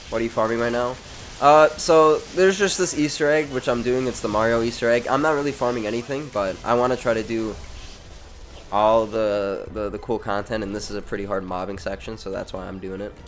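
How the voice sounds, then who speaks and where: Fairly quick speech from a man, medium in pitch, with ordinary pitch variation against noticeable background noise. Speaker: gaming streamer. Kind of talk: live gameplay commentary. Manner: casual, stammering over words.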